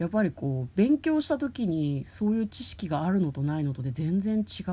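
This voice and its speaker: This woman's voice has a dark, mellow tone and sounds somewhat breathy. She speaks at a moderate pace with very wide pitch swings. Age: 30s. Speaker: podcast host. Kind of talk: casual chat. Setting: in a car.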